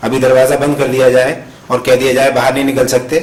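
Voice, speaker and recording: A man talks at a medium pitch. Noticeable background noise and audible room echo accompany him. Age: 60s. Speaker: professor. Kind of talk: conference talk. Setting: conference hall with audience.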